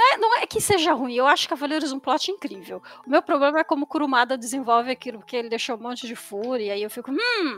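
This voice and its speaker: Talking at a very fast pace with hardly any pauses, a woman with a high pitch and lively intonation is heard in a dry, close sound with no echo against noticeable background noise. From Brazil, São Paulo city. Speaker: comics writer. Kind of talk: interview. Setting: live stream.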